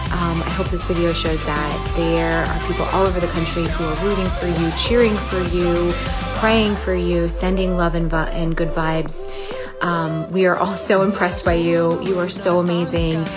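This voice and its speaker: Clear background music plays while a woman speaks at a moderate pace. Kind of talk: personal video message. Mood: warm, heartfelt encouragement. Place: home room. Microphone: phone near.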